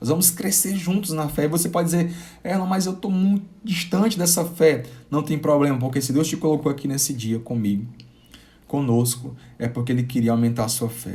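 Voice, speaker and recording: Speaking fairly quickly with lively intonation, a man with a fairly high pitch is heard amid audible room echo. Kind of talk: live-streamed sermon. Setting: live stream. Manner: halting, with repetitions.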